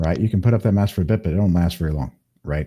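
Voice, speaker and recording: Very clean recording with a silent background of a man with an American accent, very deep and low in pitch, dark and mellow in tone, somewhat breathy, with lively intonation. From Kansas, US Midwest. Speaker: hypnotist. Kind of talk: interview conversation. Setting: live video stream.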